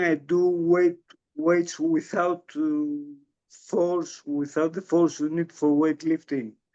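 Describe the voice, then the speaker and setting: With a Greek accent, a man speaks at a fairly high pitch in a dark, mellow tone with monotone, flat intonation. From Greece. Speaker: strength coach for Parkinson's patients. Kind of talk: interview. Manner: halting.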